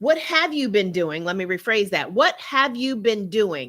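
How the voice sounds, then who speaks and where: A woman's loud, animated, fairly high voice with very wide pitch swings, in a very clean recording with a silent background. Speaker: relationship coach livestream host. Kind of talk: live stream talk to viewers. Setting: live stream.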